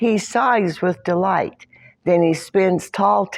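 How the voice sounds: The text is read aloud. It is a natural reading voice.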